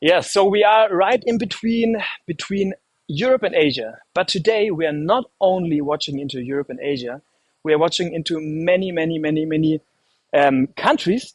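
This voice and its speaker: This man speaks with a German accent. His pitch is high. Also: lively intonation, moderate pace, dry, close sound with no echo. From Germany. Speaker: livestream host. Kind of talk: live stream hosting. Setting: indoor room in Istanbul. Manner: halting, many fillers.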